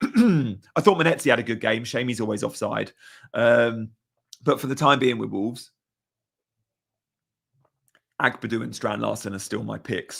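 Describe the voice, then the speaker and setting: A put-on character voice, raspy, croaky and hoarse, at a moderate pace with long, frequent pauses. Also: man, medium pitch for a man. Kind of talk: casual, chatty football talk.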